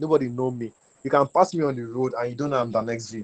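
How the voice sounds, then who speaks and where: With a Nigerian accent, a man of medium pitch talks at a fairly quick pace in a dry, close sound with no echo. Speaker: web3 community builder. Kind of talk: webinar talk. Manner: casual, conversational.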